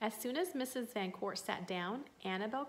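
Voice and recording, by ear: The intonation here is lively. It is someone reading aloud in a natural voice.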